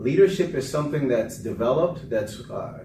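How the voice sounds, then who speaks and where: There is audible room echo around a man speaking at a medium pitch. His pace is moderate and his intonation lively. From Panama, raised in US from age five. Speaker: political candidate and navy veteran. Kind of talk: interview.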